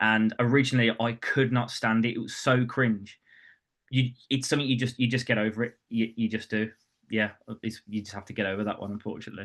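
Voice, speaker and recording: In a Birmingham accent, a man speaks fairly quickly at a medium pitch with monotone, flat intonation. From West Midlands, England (Birmingham). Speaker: property branding coach. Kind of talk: webinar talk. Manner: casual, with filler words.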